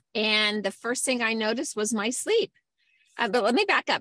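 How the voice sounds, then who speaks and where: Speaking at a fairly quick pace, a woman has a high pitch and a bright, sharp tone, in a dry, close sound with no echo. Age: 60s. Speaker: flight attendant. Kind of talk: testimony. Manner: hesitant, many fillers.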